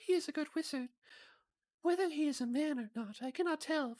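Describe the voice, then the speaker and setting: A high-pitched, put-on character voice carries the speech. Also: fairly quick pace. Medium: game stream. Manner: gentle, kindly.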